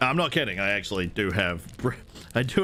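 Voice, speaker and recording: Over music in the background, a man with an American accent speaks at a moderate pace in a fairly low pitch. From New Zealand. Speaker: streamer playing video games. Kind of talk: casual live-stream chat. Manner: halting, many fillers and restarts.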